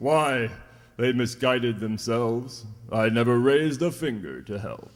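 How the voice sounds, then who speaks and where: A man's put-on character voice at medium pitch. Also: moderate pace. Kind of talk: 1940s radio acting. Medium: old radio play. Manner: gruff, blunt, salty sea language.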